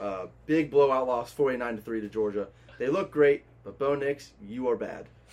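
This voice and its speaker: Noticeable background noise sits under a man speaking at a moderate pace. His pitch is medium, with ordinary variation. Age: 20s. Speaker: steel factory worker and sports bettor. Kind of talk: casual chat.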